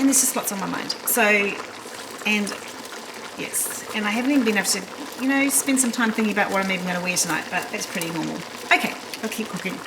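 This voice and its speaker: A woman's fairly high voice at a very fast pace with long, frequent pauses and ordinary pitch variation, plus audible room echo and noticeable background noise. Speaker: cooking vlogger. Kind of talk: casual cooking vlog.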